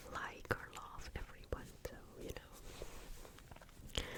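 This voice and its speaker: Through noticeable background noise, a woman's whisper can be heard. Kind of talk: ASMR whispered reading. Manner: whispered, soft-spoken.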